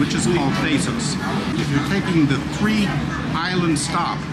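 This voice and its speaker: Over music in the background, a man speaks with ordinary pitch variation. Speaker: travel vlogger. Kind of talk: casual vlog chat. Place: boat. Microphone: phone near.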